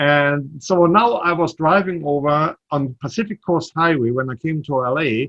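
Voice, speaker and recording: A man speaks at a moderate pace with hardly any pauses, in a slight German accent. His pitch is fairly high, with ordinary variation. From Germany. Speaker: startup CEO. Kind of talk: interview.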